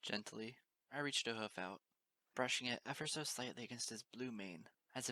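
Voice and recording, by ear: The speaker is reading aloud in a natural voice. Pitch varies in an ordinary way over a quiet background.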